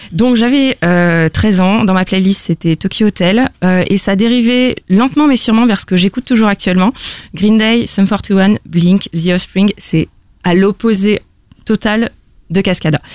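A woman with a normal speaking voice talks at a fairly slow pace and medium pitch, with ordinary pitch variation, very even loudness, and a dry, close sound with no echo. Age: 20s. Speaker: listener guest. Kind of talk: casual chat.

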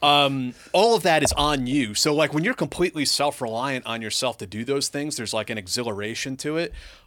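With a normal speaking voice, a man talks at a fairly quick pace with hardly any pauses. His fairly high pitch carries lively intonation, and the recording is very clean with a silent background. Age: 40s. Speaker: military veteran and podcast host. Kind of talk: casual chat.

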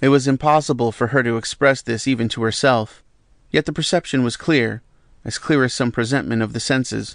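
A man speaks in a plain, everyday voice at a medium pitch and a fairly quick pace. His intonation is fairly even, and the background is quiet. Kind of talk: audiobook reading. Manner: measured, even, calm literary narration.

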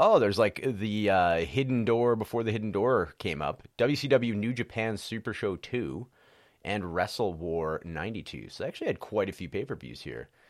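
This man's fairly low voice shows vocal fry and lively intonation. The recording is very clean, with a silent background. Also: moderate pace. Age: 40s. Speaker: wrestling podcast host. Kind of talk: solo casual commentary.

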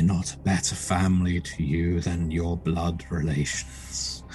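In a put-on character voice with a very deep, low pitch, a man speaks at a fairly slow pace over clear background music. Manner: soothing, tempting, maternal.

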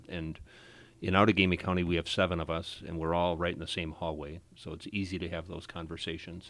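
Fairly quick speech from a man with a very deep, low voice, very cleanly recorded against a silent background. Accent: Wisconsin. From Wisconsin (Appleton). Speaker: circuit court judge. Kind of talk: radio interview.

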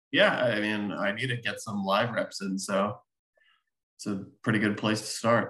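A bright, sharp tone at a moderate pace, with monotone, flat intonation. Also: man, fairly low pitch for a man. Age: 30s. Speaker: poker player. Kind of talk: casual chat.

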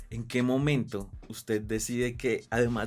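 A man speaks at a medium pitch with fairly even intonation in a plain, everyday voice. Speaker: podcast host. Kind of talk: scripted intro narration; casual interview chat. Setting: studio.

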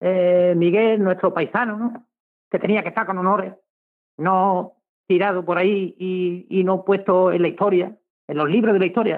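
At a moderate pace, a man with a high voice speaks in a flat monotone. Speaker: historical memory activist. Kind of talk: radio interview.

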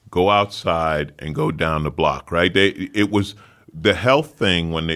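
A loud man speaks at a very deep, low pitch with ordinary pitch variation. His pace is fairly slow. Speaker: podcast host; comedian. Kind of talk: casual chat.

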